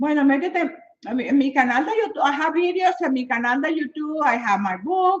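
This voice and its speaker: At a fairly quick pace, a woman with a Spanish accent speaks in a high pitch with lively intonation. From Venezuela. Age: 70s. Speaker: fitness and health motivator. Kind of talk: live stream chat with viewers. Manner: animated.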